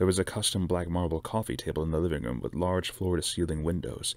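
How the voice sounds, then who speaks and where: A very deep, low male voice with vocal fry, at a fairly quick pace, in a dry sound with no echo. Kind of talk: book reading aloud. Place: home room. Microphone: webcam.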